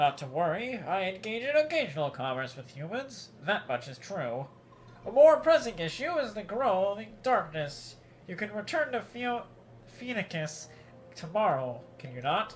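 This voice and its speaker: At a moderate pace, a put-on character voice swings very widely in pitch over clear background noise. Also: man, high pitch for a man. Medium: game stream. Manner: smooth, measured.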